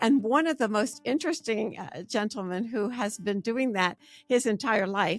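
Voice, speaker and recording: Recorded very cleanly against a silent background, with a dry, close sound and no echo, a woman speaks in an energetic tone at fairly high pitch, moderate pace and ordinary pitch variation. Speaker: podcast host. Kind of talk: podcast interview intro. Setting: studio.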